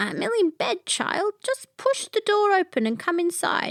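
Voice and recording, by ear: A woman's put-on character voice with an extremely high pitch and very wide pitch swings, at a moderate pace, with a dry, close sound and no echo.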